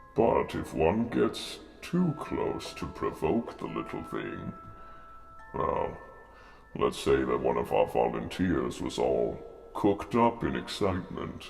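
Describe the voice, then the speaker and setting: Over clear background music, a man performs a put-on character voice in a theatrical tone at a fairly slow pace. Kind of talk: spooky show host address to camera. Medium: role play. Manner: theatrical, ominous.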